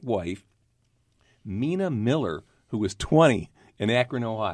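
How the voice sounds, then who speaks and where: In a very clean recording with a silent background, a man speaks at a medium pitch in an unremarkable speaking voice. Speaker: podcast host and vodka brand representative. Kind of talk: podcast interview. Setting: studio.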